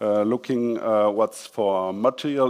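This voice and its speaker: A man speaks at a medium pitch. His pace is very slow and his intonation fairly even. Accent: non-native. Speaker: packaging director at a company. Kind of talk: conference presentation. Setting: stage with audience. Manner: halting, many fillers.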